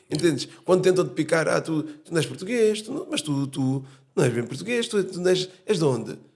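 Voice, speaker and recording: His voice is high in pitch. This man keeps a moderate speed. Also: lively intonation. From Portugal. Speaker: podcast host. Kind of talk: casual chat.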